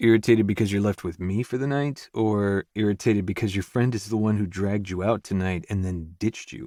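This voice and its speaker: A man puts on a guttural character voice with a fairly low pitch and a relaxed tone, keeping fairly even intonation. He talks at a fairly quick pace with hardly any pauses on a very clean recording with a silent background. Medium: read story. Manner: teasing, relaxed.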